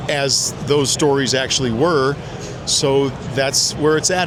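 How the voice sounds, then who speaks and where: Here a man with a Midwestern accent speaks at a fairly high pitch. Noticeable background noise and audible room echo fill the recording. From US Midwest. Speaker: former special operations soldier and author. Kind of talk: interview. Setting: trade show booth. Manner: animated.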